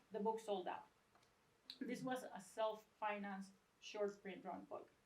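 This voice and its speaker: Somewhat breathy woman's voice in a Venezuelan accent, fairly high in pitch with ordinary variation, at a moderate pace. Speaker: book designer and educator. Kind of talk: lecture. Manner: casual, joking.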